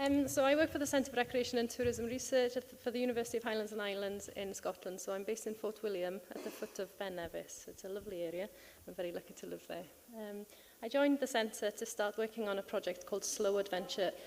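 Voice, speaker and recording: A soft-spoken woman talks at a very fast pace with a Welsh accent. Her pitch is fairly high, with ordinary variation. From Wales. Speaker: tourism researcher. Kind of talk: conference panel talk. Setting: conference stage with audience. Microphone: too quiet.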